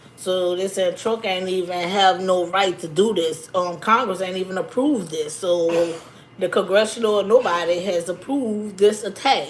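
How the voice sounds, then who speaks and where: A woman speaks at a moderate pace with a medium pitch and ordinary pitch variation, over noticeable background noise. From Louisiana, New Orleans. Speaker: YouTuber. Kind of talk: livestream commentary. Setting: YouTube livestream. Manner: casual, conversational.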